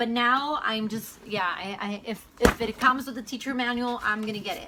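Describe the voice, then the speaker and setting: Noticeable background noise behind a woman's voice, pitched fairly high. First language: Spanish. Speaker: homeschooling mom vlogger. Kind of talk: casual vlog Q&A. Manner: hesitant, filler-heavy.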